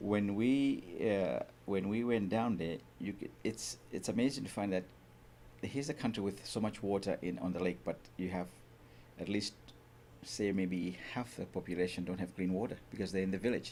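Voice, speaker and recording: At a moderate pace, the voice sounds dark and mellow, its pitch moving up and down in an ordinary way. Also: man, fairly low pitch for a man. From Malawi. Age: 50s. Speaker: charity founder. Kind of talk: radio interview. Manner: halting.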